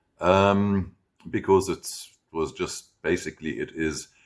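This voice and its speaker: This man has a German accent. His pitch is fairly low. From Germany, then South Africa from age 12. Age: 60s. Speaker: German teacher. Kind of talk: personal backstory monologue. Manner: casual, with fillers and self-corrections.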